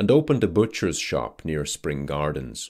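Against a quiet background, a man with vocal fry speaks at a moderate pace. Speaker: voice actor. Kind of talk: audiobook-style literary narration. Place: studio. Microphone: studio mic.

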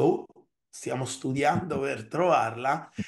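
This man has a plain, everyday voice, pitched fairly high, with ordinary pitch variation at a fairly slow pace. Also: quiet background. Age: 40s. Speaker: software company CEO; guest. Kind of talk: interview. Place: home room.

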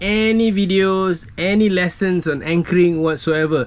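The man's pitch sits high, varying in an ordinary way as he talks at a moderate pace. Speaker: sailing vlogger. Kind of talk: casual vlog chat. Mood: playful, self-mocking. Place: boat. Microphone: phone near.

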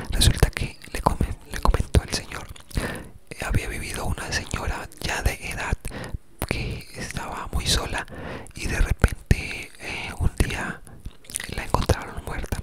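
A man whispers at a fairly slow pace. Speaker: ASMR creator. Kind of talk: ASMR whispered storytelling. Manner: whispered, soft-spoken, relaxing. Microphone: studio mic.

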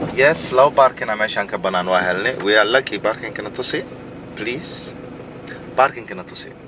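Recorded dry with no echo but noticeable background noise, a man talks at a fairly low pitch with big swings in loudness. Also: ordinary pitch variation, moderate pace. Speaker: companion on outing. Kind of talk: casual vlog commentary. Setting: outdoors at a market. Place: car. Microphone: camera far.

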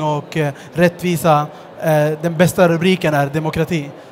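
A man's high-pitched, monotone, flat delivery with light background noise. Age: 30s. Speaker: social entrepreneur; guest. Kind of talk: stage interview. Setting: stage at a book fair with audience. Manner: hesitant, with fillers. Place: stage. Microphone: headset.

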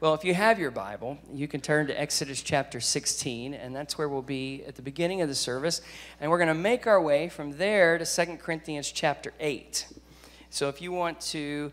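A man talks at a moderate pace with ordinary pitch variation. His loudness swings widely. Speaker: guest preacher. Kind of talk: sermon. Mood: warm, joking. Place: church. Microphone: handheld.

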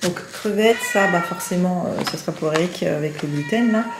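A woman speaks at a moderate pace with lively intonation. Noticeable background noise runs underneath. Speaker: lifestyle vlogger; vlogger. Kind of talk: casual vlog narration. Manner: chatty, hesitant with fillers. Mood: relaxed, chatty. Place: home room. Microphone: phone near.

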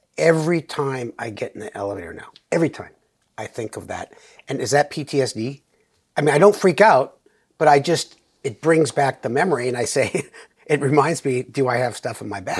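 Lively in intonation, a man speaks at a fairly quick pace. His loudness swings widely. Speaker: guest. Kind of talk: casual conversation, personal anecdote. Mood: reflective, lightly humorous. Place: studio. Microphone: lapel.

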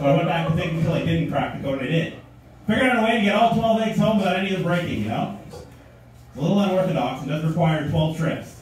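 Amid strong room echo and light background noise, a man talks at a very fast pace with lively intonation. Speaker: stand-up comedian. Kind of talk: stand-up comedy routine. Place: stage.

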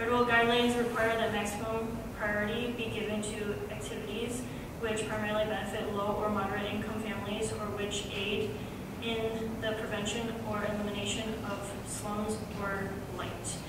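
A woman talks at a moderate pace amid loud background noise, with audible room echo. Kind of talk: formal reading of public notice. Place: meeting room.

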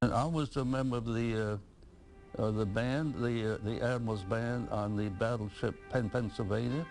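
With music in the background, a man of medium pitch speaks in an American accent at a moderate pace, his loudness very even and his intonation fairly even. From Pensacola, Florida. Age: 80s+. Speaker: war veteran. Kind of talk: interview answer.

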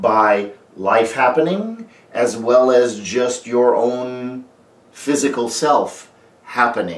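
Audible room echo surrounds the speech. A man talks at a very slow pace. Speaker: life coach. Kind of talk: motivational talk to camera. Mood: calm earnest. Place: home room.

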